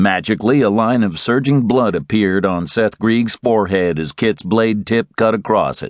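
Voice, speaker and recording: This man has an ordinary speaking voice, fairly low in pitch with ordinary pitch variation, at a moderate pace with hardly any pauses. The sound is dry and close with no echo against a quiet background. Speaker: audiobook narrator. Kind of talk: dramatic audiobook narration of a western, reading aloud with character voices.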